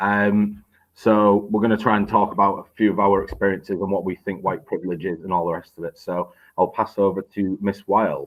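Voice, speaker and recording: Flat and monotone, a man with a northern English accent talks at a fairly quick pace with a fairly low pitch. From northern England. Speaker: teacher. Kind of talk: educational discussion.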